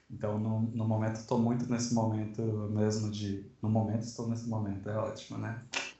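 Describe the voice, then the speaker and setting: Somewhat breathy and medium in pitch, a man's voice moves at a fairly quick pace with monotone, flat intonation. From Sorocaba, São Paulo state, Brazil. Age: 20s. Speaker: designer and book layout artist. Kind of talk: casual chat.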